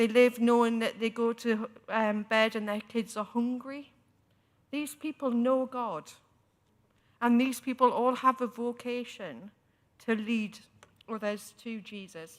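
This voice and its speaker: A woman's fairly high voice with a strong Newcastle accent, fairly even intonation, a fairly slow pace and long, frequent pauses. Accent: strong local Newcastle. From northern England, Newcastle area. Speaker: church synod member and preacher. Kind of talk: debate speech. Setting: synod chamber.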